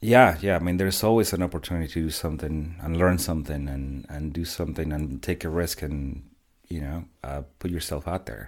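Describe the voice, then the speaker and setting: With a Spanish accent, a man of very deep, low pitch speaks fairly quickly with ordinary pitch variation. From Mexico. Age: 40s. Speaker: father sharing life story. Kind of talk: casual interview. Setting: office.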